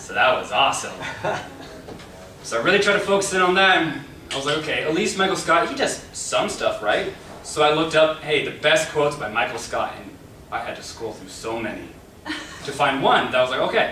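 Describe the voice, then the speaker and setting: In a room with audible echo and noticeable background noise, a man with a high pitch speaks at a fairly quick pace with lively intonation, big swings in loudness, and long, frequent pauses. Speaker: club speaker. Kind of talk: prepared speech with humor. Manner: loud at times; animated.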